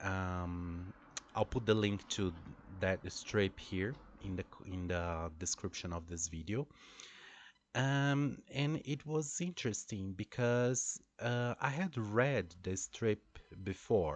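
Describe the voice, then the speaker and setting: Against a quiet background, a man with a Brazilian Portuguese accent speaks at a very slow pace and fairly low pitch, using lively intonation and long, frequent pauses. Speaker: English teacher. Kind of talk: monologue about teaching experience. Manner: hesitant, many fillers.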